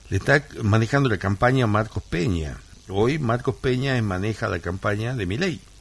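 A man speaks at a moderate pace in a fairly low voice that is somewhat breathy. His pitch varies in an ordinary way. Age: 60s. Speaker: lawyer and radio co-host. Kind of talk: radio political commentary. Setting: radio studio. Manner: halting with frequent repetitions.

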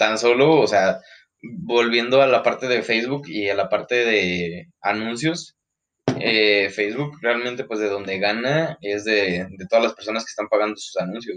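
With a plain, everyday voice, a man talks at a fairly slow pace and a medium pitch. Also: ordinary pitch variation. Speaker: podcast co-host. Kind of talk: casual chat.

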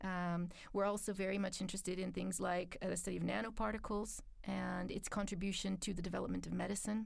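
A woman talks at a very fast pace with very even loudness. Audible room echo surrounds her voice. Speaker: international office staff at a university. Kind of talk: interview. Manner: articulate, measured.

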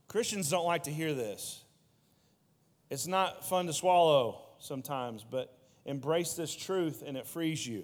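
In a room with audible echo, a man speaks at a fairly slow pace. His fairly high pitch has ordinary pitch variation. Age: 30s. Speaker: youth pastor. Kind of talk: sermon.

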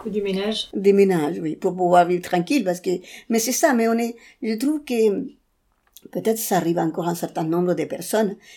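A woman with a medium pitch and ordinary pitch variation talks at a fairly quick pace. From Chile. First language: Spanish (speaking French). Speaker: interviewee sharing personal story. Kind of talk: personal testimony interview. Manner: halting, with many repetitions.

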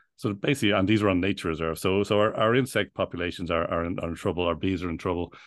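In an Irish accent, a man speaks with a very deep, low pitch and ordinary pitch variation. He goes at a very fast pace with hardly any pauses. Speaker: bee sanctuary founder. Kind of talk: interview conversation. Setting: remote call. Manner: halting, many repetitions.

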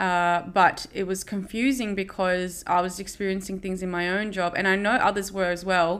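With an Australian accent, the speaker talks in a monotone, flat intonation at a moderate pace with hardly any pauses, on a very clean recording with a silent background. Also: woman, medium pitch for a woman. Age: 30s. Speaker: podcast host. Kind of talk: personal monologue. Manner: casual, with frequent fillers.

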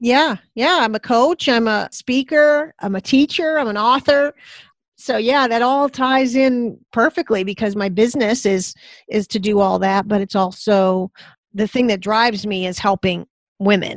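In a very clean recording with a silent background and a dry, close sound with no echo, a woman talks at a fairly slow pace with a fairly high pitch, lively intonation and an ordinary speaking voice. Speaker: coach and speaker. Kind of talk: casual interview chat.

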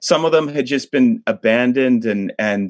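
Using an American accent, a man speaks at a moderate pace with medium pitch and ordinary pitch variation, the sound dry and close with no echo. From Upstate New York. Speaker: hotel and restaurant owner. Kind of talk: interview. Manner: halting, with frequent repetitions.

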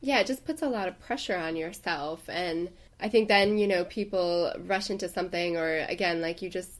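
With a normal speaking voice, a woman talks at a moderate pace in a fairly low pitch with ordinary pitch variation. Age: 20s. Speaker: podcast co-host, boudoir photographer. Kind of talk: casual chat.

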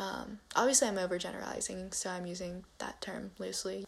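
A woman speaks at a medium pitch and a moderate pace, with an American accent. She has an ordinary speaking voice. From US, Chinese American family. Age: young. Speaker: first-generation Chinese American sharing personal story. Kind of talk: prepared personal essay read aloud.

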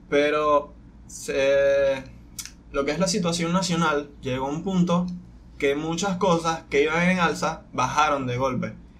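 Fairly slow speech with fairly even intonation and audible room echo. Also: man, fairly high pitch for a man. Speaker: podcast co-host. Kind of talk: casual chat.

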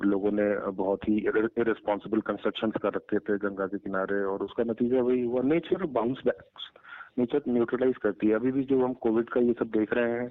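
This is an ordinary speaking voice from a man at a medium pitch. He talks at a moderate pace with fairly even intonation. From eastern Uttar Pradesh (Ballia). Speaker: organic farmer and pizza entrepreneur. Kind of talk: interview.

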